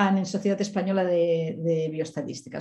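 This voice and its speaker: At a fairly quick pace, a woman speaks in a somewhat breathy voice with audible room echo. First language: Spanish. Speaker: statistician. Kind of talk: conference presentation. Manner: fast.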